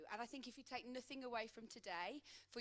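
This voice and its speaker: A woman speaks in a Midlands accent at a moderate pace. Her pitch varies in an ordinary way. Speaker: coach. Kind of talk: conference talk.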